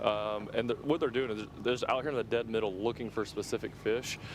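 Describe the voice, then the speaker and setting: With a Southern US accent, a man speaks at a moderate pace with fairly even intonation. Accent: US South. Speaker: fishing tournament commentator. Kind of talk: live commentary. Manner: loud.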